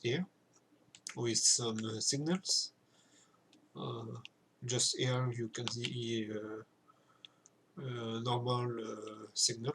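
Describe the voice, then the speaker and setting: A man with a French accent, medium in pitch with ordinary variation, at a very slow pace broken by long, frequent pauses. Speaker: video game content creator. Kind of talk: gameplay tutorial commentary. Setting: home recording with keyboard noise. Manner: hesitant, many filler sounds.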